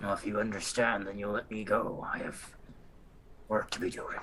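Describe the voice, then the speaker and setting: Over clear background noise, a man puts on a raspy character voice, fairly low in pitch and at a moderate pace. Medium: actual play. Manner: terse, clipped sentences.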